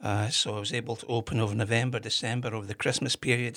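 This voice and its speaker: Over a silent background in a very clean recording, a man speaks fairly quickly with a bright, sharp tone and a monotone, flat intonation. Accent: Glasgow. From Scotland, Kirkintilloch near Glasgow. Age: 50s. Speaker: whisky shop owner, former historian. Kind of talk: casual interview.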